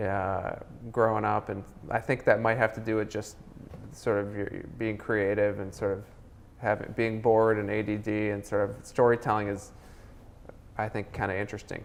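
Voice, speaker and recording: A man with an American accent and a fairly low pitch speaks in a monotone, flat way. His pace is moderate, with long, frequent pauses. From Minnesota, US. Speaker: film director. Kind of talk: interview. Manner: halting, many fillers.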